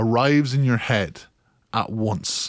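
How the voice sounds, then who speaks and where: A man speaks with a Kilkenny accent. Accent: Irish, Kilkenny. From Ireland. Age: 30s. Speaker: podcaster. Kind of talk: casual monologue, part comedic.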